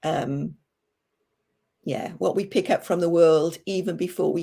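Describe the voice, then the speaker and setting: A woman's fairly low, dark, mellow voice with vocal fry, fairly even intonation and a moderate pace. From Welsh-English border. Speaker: storyteller. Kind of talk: livestream interview. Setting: livestream.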